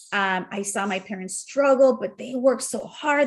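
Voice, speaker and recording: A woman with a Spanish accent speaks at a high pitch with ordinary pitch variation, recorded very cleanly against a silent background. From Mexico. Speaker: entrepreneur. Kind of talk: casual chat.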